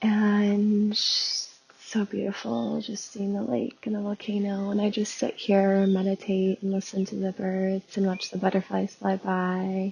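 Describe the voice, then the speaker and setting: Soft-spoken and fairly slow, a woman talks at a medium pitch with ordinary pitch variation and hardly any pauses, with noticeable background noise. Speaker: spiritual business coach and podcast host. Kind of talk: casual podcast monologue. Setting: outdoors in nature.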